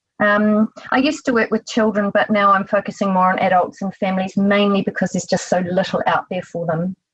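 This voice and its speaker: A woman with a New Zealand accent, medium pitch, somewhat breathy, with fairly even intonation, a fairly quick pace and hardly any pauses. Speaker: psychotherapist. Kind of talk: interview.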